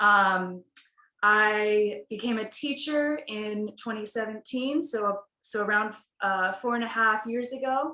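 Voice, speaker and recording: Speaking at a very slow pace, a woman with an American accent has a fairly high pitch, ordinary pitch variation and a bright, sharp tone. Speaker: yoga teacher. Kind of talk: casual chat.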